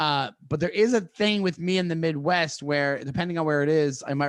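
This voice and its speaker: Against a quiet background, a man with a New York accent speaks at a fairly quick pace with ordinary pitch variation. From New York, Long Island. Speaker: comedian. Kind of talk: casual interview. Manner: fast.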